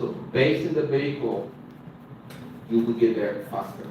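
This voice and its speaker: A man talks at a moderate pace with ordinary pitch variation. Noticeable background noise and audible room echo surround his voice. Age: 30s. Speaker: dance instructor. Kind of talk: workshop presentation.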